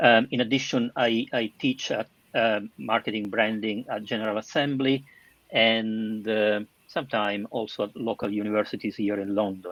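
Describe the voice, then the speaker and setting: A man with a southern Italian accent speaks at a fairly low pitch, his intonation fairly even. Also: moderate pace, dry, close sound with no echo. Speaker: marketing director and teacher. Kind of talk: panel discussion. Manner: halting.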